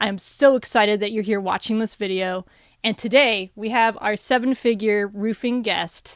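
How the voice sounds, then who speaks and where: This woman has an unremarkable speaking voice with a fairly high pitch. She talks at a moderate pace with fairly even intonation. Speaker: podcast host. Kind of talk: interview questions, casual conversation.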